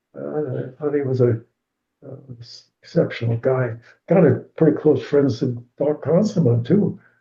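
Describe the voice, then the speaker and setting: Speaking at a moderate pace, a man uses a fairly high pitch with ordinary variation and some vocal fry. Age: 90s. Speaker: retired swim coach. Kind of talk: interview. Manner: halting.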